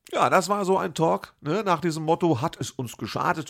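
A man's voice, moderate in pace, captured on a very clean recording against a silent background. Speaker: podcast host and cabaret artist. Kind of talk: podcast intro and outro narration; casual chat. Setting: empty café with some reverb.

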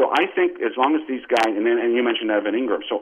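A man speaks at medium pitch with fairly even intonation. His is an ordinary speaking voice. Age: 50s. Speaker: sports website editor. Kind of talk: casual interview.

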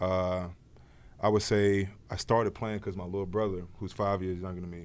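A moderate pace with an American accent. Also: man. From Prince George's County, Maryland. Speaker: professional football player. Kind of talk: casual interview chat. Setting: studio at a stadium.

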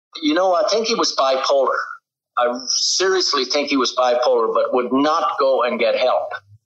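Audible room echo surrounds a voice of very even loudness moving at a moderate pace. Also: man. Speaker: father of a missing man. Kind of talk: interview. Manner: hesitant, many fillers.

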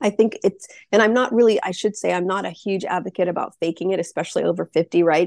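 A woman with a plain, everyday voice speaks at a medium pitch and a fairly quick pace, with ordinary pitch variation. The background is quiet. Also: dry, close sound with no echo. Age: 50s. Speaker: business founder and menopause advocate. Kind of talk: casual interview.

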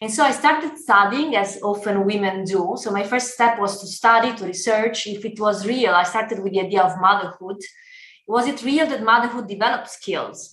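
A woman with an Italian accent talks at a fairly quick pace in a fairly high voice with ordinary pitch variation. Audible room echo surrounds her. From Italy. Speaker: startup founder and CEO. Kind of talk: podcast interview.

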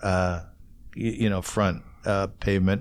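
In a very clean recording with a silent background, a man with a Canadian accent talks at a fairly slow pace. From Ontario, Canada. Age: 50s. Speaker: podcast host. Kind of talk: casual interview. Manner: animated.

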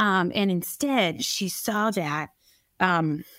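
A woman speaks in an unremarkable speaking voice at a fairly low pitch, recorded very cleanly against a silent background. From US, raised by Norwegian-American parents; born in Colombia. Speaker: stay-at-home mom and adoptee. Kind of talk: casual interview.

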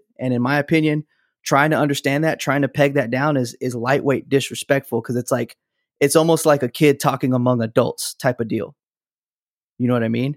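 An ordinary speaking voice from a man with an American accent, fairly high in pitch, fairly quick, fairly even in intonation, in a dry, close sound with no echo. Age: young. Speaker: musician. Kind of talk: casual chat. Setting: video call.

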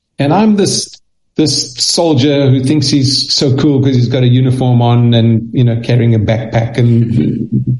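The speaker talks at a moderate pace in a South African accent, with ordinary pitch variation. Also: man, medium pitch for a man. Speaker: children's author and speaker. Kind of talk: interview. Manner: halting, repeats words.

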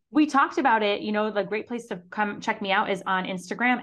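A woman with an American accent, a plain, everyday voice, medium pitch, ordinary pitch variation, and a quiet background. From Syracuse, New York, US. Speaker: marketing mentor and business owner. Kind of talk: interview.

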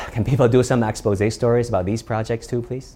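Dark and mellow in tone, a man's medium-pitched voice is somewhat breathy. He moves at a fairly quick pace with fairly even intonation. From China. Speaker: journalist and TV anchor. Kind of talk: scripted talk to camera.

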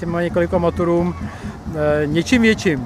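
Noticeable background noise runs through the clip. The voice belongs to a man. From Czechia, central Bohemia. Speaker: tractor collector, print production worker. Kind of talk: interview.

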